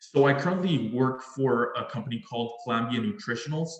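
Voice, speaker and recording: A man with a Spanish accent talks fairly quickly amid noticeable background noise and audible room echo. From Mexico, Monterrey. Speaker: engineering alumnus speaker. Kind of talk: presentation. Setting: video call.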